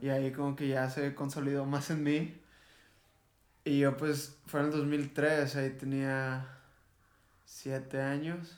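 Amid audible room echo, a man speaks at a very slow pace and fairly high pitch in a monotone, flat intonation with long, frequent pauses. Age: 20s. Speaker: rock band vocalist. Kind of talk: casual chat.

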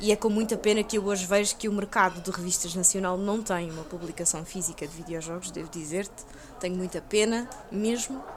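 With a normal speaking voice, a woman talks at a fairly quick pace, her medium pitch showing ordinary variation. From Portugal, Lisbon (Chelas). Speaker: video game journalist. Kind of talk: casual chat.

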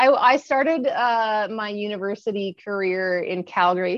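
A woman is speaking here. She talks in a Western Canadian accent. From Kamloops, British Columbia, Canada. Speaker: Paralympic athlete and lawyer. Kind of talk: interview.

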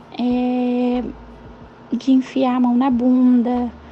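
High-pitched woman's voice over noticeable background noise. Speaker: self-employed mother. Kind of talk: interview testimony.

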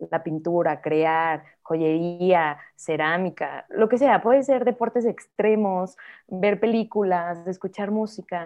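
The speaker talks at a very slow pace. The pitch varies in an ordinary way. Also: woman. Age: 30s. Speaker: painter. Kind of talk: casual interview chat.

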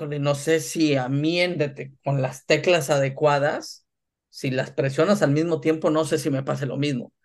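A man speaks in a normal speaking voice. His pitch sits fairly high, and his pace is moderate. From northern Mexico, Tamaulipas. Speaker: sports business executive. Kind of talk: interview.

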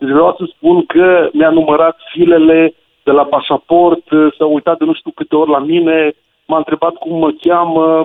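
Monotone, flat intonation at a moderate pace. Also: man, fairly high pitch for a man. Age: 40s. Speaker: radio caller. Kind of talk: phone-in anecdote.

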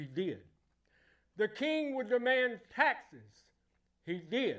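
At a very slow pace, a man with an American accent speaks at an extremely high pitch. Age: 70s. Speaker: pastor. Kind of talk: sermon. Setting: church. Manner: animated.

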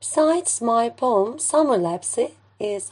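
With a Turkish accent, the speaker uses lively intonation. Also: woman. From Turkey. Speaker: poet and English teacher. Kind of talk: poetry reading.

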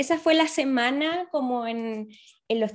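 Speech unfolds at a fairly slow speed. The pitch varies in an ordinary way. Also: woman. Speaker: podcast co-host, volunteer. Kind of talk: casual chat.

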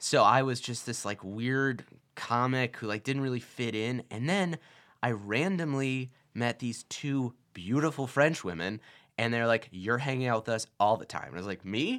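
Against a silent background on a very clean recording, a man with an unremarkable speaking voice talks at a medium pitch and a moderate pace, his pitch varying in an ordinary way. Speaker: Burning Man attendee. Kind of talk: casual chat.

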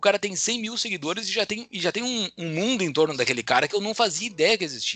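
Talking at a very fast pace, a man raises and projects his high-pitched voice with lively intonation. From southern Brazil, Rio Grande do Sul. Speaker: finance executive and podcaster. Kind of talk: casual interview chat. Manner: hesitant with frequent fillers.

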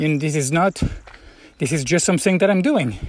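A man's fairly high voice shows ordinary pitch variation as he talks at a moderate speed. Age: 40s. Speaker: pilgrim video blogger. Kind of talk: personal reflective monologue. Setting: lodging room on the Camino in Spain. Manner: halting, with frequent fillers.

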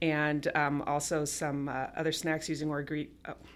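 A woman speaks at a very deep, low pitch and a moderate pace. The recording is very clean, with a silent background. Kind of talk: casual chat. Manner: hesitant, filler words.

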